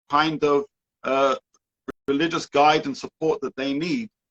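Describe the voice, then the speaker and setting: With a British accent, a man speaks in a fairly high pitch. His pitch variation is ordinary, and the sound is dry and close with no echo. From UK. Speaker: rabbi and educator. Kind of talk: interview.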